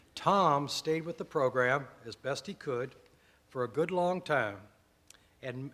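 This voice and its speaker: A man with an American accent, a bright, sharp tone and ordinary pitch variation. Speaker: former program director. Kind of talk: anniversary speech.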